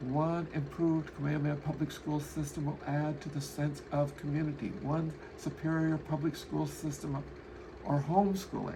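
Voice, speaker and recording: A man at a moderate pace and fairly high pitch, with monotone, flat intonation, audible room echo and noticeable background noise. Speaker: podcast host. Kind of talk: solo podcast monologue.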